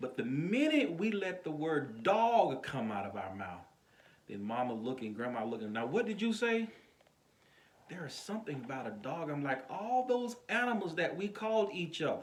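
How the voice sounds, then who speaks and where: A man at a fairly high pitch with very wide pitch swings, moderate pace and audible room echo. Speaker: pastor. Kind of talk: informal sermon to camera. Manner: soft-spoken.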